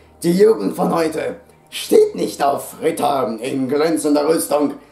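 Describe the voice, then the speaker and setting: A man at a very slow pace, faint background music, audible echo in the room. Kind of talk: acted comedy sketch dialogue. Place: home room. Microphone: camera far.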